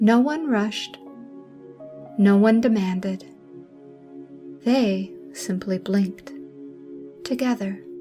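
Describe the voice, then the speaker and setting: Music plays in the background as a woman speaks in a soothing tone. Her pace is very slow, with long, frequent pauses. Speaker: sleep story narrator. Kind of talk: sleep story. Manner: soothing, slow.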